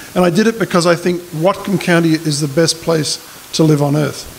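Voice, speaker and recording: Someone speaks with an Australian accent at a fairly quick pace and fairly even intonation. Noticeable background noise is present. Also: man. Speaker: political candidate. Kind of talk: candidate forum speech. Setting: community hall forum with audience.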